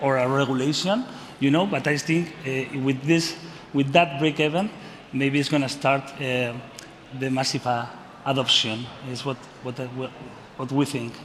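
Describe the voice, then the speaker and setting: A fairly high-pitched man with a Spanish accent, fairly even intonation and long, frequent pauses, over noticeable background noise. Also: moderate pace. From Spain. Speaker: company representative, panelist. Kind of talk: panel discussion. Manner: halting, many fillers.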